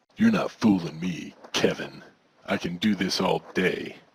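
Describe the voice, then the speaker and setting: A man puts on a character voice. It is very deep and low, delivered at a fairly slow pace. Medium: audio drama. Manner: smug, self-assured, mysterious.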